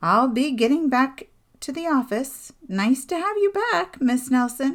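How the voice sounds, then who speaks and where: A put-on character voice at a moderate pace. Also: female-sounding voice, high pitch for a woman. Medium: read story. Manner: formal, pompous.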